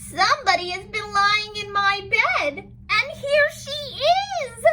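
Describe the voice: A put-on character voice at an extremely high pitch comes through over light background noise. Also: fairly slow pace.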